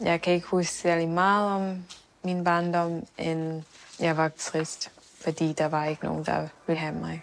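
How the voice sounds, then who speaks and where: In a fairly low voice, a woman speaks at a fairly slow pace with monotone, flat intonation. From Thailand until age six, then raised by Danish family in Switzerland. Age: 20s. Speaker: adoptee searching for birth parents. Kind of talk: documentary interview.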